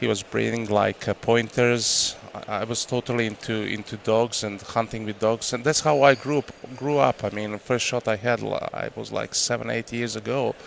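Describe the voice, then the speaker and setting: Noticeable background noise runs under this recording. A man speaks with fairly even intonation. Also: medium pitch for a man, moderate pace. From Croatia. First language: Croatian. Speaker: hunting guide and outfitter. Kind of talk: casual interview chat. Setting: trade show. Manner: halting.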